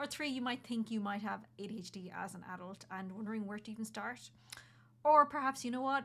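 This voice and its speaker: Talking at a very fast pace, a woman with an Irish accent uses a fairly high pitch. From Ireland, County Kerry. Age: 30s. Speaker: content creator and journalist. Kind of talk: personal vlog explainer. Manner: casual, conversational.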